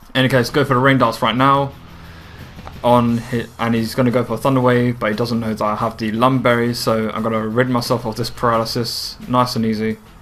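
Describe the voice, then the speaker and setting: Noticeable background noise sits behind a man speaking at a fairly quick pace. His medium-pitched voice stays monotone and flat. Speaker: video game commentator. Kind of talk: gameplay commentary. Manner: fast.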